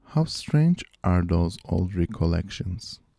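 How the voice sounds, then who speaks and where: A man with a non-native accent speaks at a fairly slow pace in a fairly low, dark, mellow voice, recorded very cleanly against a silent background with a dry, close sound and no echo. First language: not English. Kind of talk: amateur audiobook-style reading of a short story. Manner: reading aloud, practice read.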